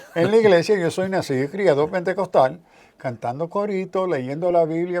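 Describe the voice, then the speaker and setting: This man talks at a moderate pace in a high voice, with ordinary pitch variation. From New York (South Bronx), Puerto Rican parents. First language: English (speaking Spanish). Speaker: theologian and professor. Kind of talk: interview.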